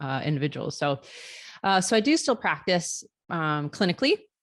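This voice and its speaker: At a moderate pace, a woman with a slight Chicago accent speaks in a dry, close sound with no echo. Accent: slight Chicago-area. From Florida, US. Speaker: neonatal nurse practitioner and nursing professor. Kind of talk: interview. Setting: video call.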